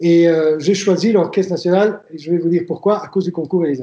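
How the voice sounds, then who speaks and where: This man's voice sits at a high pitch, with a dark, mellow tone. His intonation stays fairly even. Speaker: violinist and violin teacher. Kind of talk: interview testimony. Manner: hesitant, with frequent fillers and restarts.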